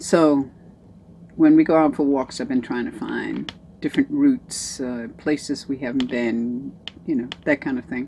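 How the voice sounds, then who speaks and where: This woman speaks at a moderate pace, with noticeable background noise underneath. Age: 70s. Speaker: vlogger on weight-loss surgery. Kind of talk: casual video diary. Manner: hesitant, many fillers.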